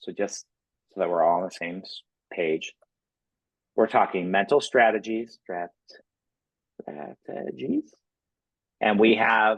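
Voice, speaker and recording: At a moderate pace, a man speaks at a fairly low pitch with ordinary pitch variation, the sound dry and close with no echo. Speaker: mental performance coach for cheer staff. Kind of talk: staff training talk. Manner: animated.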